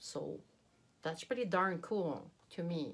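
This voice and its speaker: A woman with a slight French accent speaks at a fairly low pitch with lively intonation. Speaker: beauty youtuber. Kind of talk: product unboxing review. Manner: animated.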